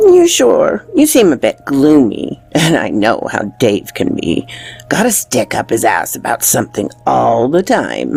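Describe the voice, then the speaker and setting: Faint music plays in the background. A woman puts on a character voice and speaks at a fairly slow pace. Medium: audio drama.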